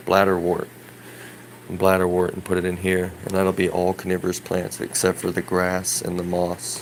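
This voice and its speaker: A man talks fairly quickly in a very deep, low voice, with noticeable background noise behind him. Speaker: hobbyist gardener vlogger. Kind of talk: casual video tour. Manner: hesitant with fillers.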